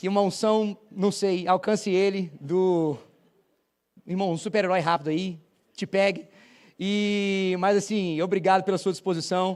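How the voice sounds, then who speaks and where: A man with a high pitch, fairly even intonation, a fairly slow pace and long, frequent pauses, in a very clean recording with a silent background. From Brazil, Paraíba (Campina Grande), later São Paulo. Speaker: visiting pastor. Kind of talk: sermon. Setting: church.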